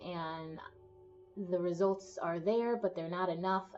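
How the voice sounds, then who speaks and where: Medium-pitched woman's voice at a fairly slow pace over music in the background. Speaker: tarot reader. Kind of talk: tarot reading to camera. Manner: casual, conversational.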